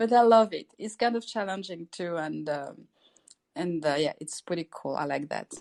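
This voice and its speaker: A woman's fairly low voice with lively intonation at a moderate pace, in a dry, close sound with no echo. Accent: French. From France. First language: French. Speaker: participant. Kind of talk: casual group chat. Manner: halting, repeats words.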